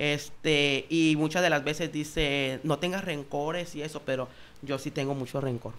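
Fairly even intonation at a moderate pace. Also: man, fairly high pitch for a man. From Escuinapa, Sinaloa, Mexico; Sinaloa, Mexico. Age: 20s. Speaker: nurse and social media comedian; social media comedian. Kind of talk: casual chat. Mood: candid, personal anecdotes. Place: studio. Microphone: studio mic.

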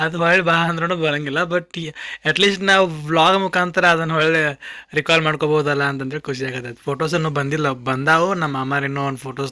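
Fairly high for a man, his voice has a bright, sharp tone and fairly even intonation. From Dharwad, north Karnataka, India. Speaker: vlogger. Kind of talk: casual vlog narration.

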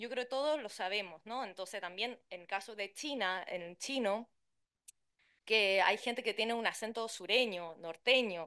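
A quiet backdrop behind speech of ordinary pitch variation. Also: woman. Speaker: translator and interpreter; conference panelist. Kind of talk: conference talk. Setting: conference room with interpreters. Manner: fast. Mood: lively, humorous. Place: hall.

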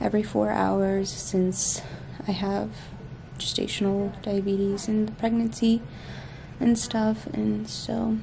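Amid light background noise, a woman speaks at a fairly slow pace. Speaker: pregnant vlogger. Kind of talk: casual vlog chat. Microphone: phone near.

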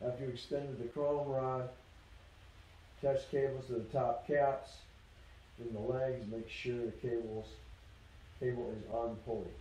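With audible room echo and light background noise, a man speaks at a moderate pace using fairly even intonation. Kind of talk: reading instructions aloud, tutorial. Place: garage.

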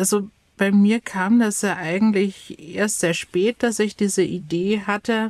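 Very slowly, a woman speaks with fairly even intonation in a dry, close sound with no echo. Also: very clean recording, silent background. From Bavaria, Chiemgau. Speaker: youth education counsellor and YouTuber. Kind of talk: casual chat.

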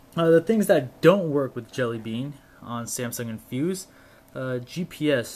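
Using ordinary pitch variation, a man speaks at a fairly slow pace. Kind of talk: casual tech demo. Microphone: camera far.

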